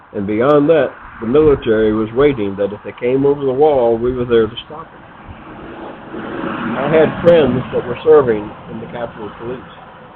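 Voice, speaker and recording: With an American accent, a man speaks at medium pitch and a moderate pace, showing ordinary pitch variation, big swings in loudness, and long, frequent pauses against noticeable background noise. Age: 70s. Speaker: retired army officer and podcaster. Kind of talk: improvised opinion monologue. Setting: outdoors on front porch.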